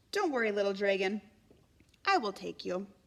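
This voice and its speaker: A woman's squeaky, put-on character voice at medium pitch, moving at a moderate pace. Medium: read story. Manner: stuttering, nervous.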